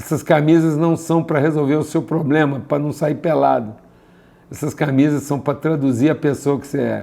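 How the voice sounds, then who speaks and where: A man's fairly high-pitched voice with a dark, mellow tone, monotone, flat intonation, and a moderate pace. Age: 60s. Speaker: spiritual teacher. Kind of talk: live online class.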